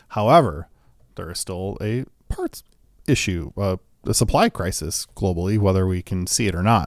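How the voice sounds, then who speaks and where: The speaker has a Midwestern accent, ordinary pitch variation and a moderate pace. The recording is very clean, with a silent background. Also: man, fairly low pitch for a man. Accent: American Midwest. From US Midwest. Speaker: podcast host, guitar gear. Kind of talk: casual chat. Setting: studio.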